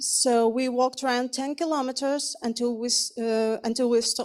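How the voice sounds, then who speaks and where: A woman with a Ukrainian accent speaks at a moderate pace and a high pitch. The recording is very clean, with a silent background. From Ukraine. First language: Ukrainian or Russian. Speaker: refugee, psychologist. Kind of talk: testimony read from a prepared speech.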